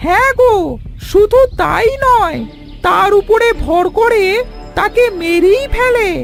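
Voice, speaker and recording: Clear music plays behind a cartoonish character voice that is extremely high in pitch and delivered at a fairly slow pace. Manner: warm, friendly.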